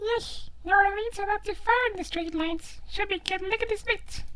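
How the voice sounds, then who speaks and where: Squeaky and extremely high-pitched, a put-on character voice talks at a moderate pace. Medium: solo performance.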